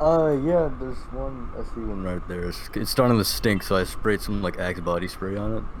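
Noticeable background noise sits behind the recording. A man talks at a moderate pace with hardly any pauses. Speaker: podcast guest. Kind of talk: casual chat. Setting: video call.

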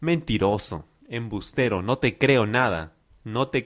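Here someone reads aloud in a natural voice.

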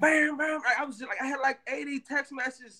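A man's raised, projected voice, extremely high in pitch, with a bright, sharp tone. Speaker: musician. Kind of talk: interview.

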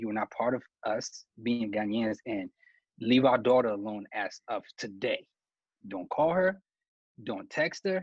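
A man with a medium pitch talks at a fairly slow pace, leaving long, frequent pauses. The sound is dry and close, without echo. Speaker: podcast host. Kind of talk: panel discussion. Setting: video call.

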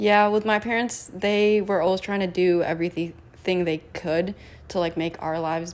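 A woman with a plain, everyday voice, fairly low pitch, moderate pace and ordinary pitch variation. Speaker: student club officer. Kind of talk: casual chat.

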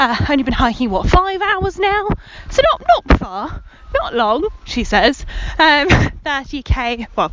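A woman's very slow speech with very wide pitch swings, over noticeable background noise. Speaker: podcast host and scout leader. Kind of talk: casual podcast narration and recap.

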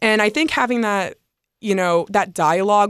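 A woman with an American accent talks at a moderate pace in a normal speaking voice, with ordinary pitch variation, on a very clean recording over a silent background. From US South. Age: 20s. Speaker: college softball pitcher. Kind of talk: casual interview.

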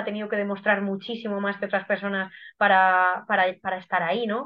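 A woman talks at a medium pitch and a fairly quick pace. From Guadalajara, Spain. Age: 30s. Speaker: athlete and biologist. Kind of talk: podcast interview.

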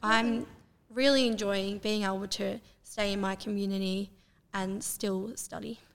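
A woman talks at a fairly slow pace with an Australian accent. Her intonation stays fairly even. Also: medium pitch for a woman. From Terang, Victoria, Australia. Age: 20s. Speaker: university student, youth council member. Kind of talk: interview.

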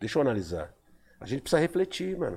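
This man's voice sits at a medium pitch with very wide pitch swings. Vocal fry runs through it. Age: 50s. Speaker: poet. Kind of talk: casual chat.

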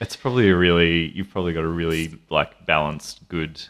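On a very clean recording with a silent background, a man with an Australian accent speaks at a moderate pace. His very deep, low voice keeps a fairly even intonation. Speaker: podcast host. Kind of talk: casual chat.

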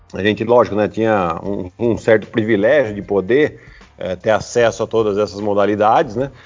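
A man speaks at a moderate pace with fairly even intonation and a fairly low pitch. His is an unremarkable speaking voice. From Brazil, Piracicaba (São Paulo state). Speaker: basketball player and sports commentator. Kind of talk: casual interview chat.

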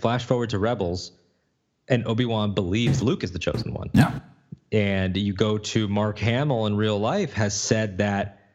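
Using a plain, everyday voice, a man talks at a moderate pace with a fairly low pitch and ordinary pitch variation. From Connecticut, US, of Puerto Rican family. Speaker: podcast host. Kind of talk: casual chat. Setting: video call.

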